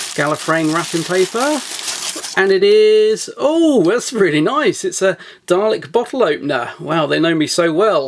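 A man at a fairly slow pace with very wide pitch swings. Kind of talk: unboxing commentary. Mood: excited, enthusiastic.

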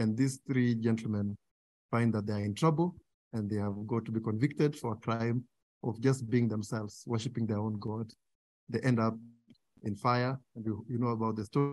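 A man speaks at a moderate pace with fairly even intonation and long, frequent pauses. The sound is dry, with no echo. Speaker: guest lecturer. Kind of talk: lecture. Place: hall. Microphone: podium.

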